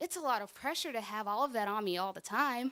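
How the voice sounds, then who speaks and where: A woman's raised, projected voice. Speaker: spoken word poet. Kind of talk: spoken word poetry performance. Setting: church.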